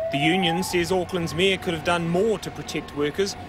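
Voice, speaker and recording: A man speaks at a high pitch. Noticeable background noise runs behind him. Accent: New Zealand. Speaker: TV news reporter. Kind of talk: news report.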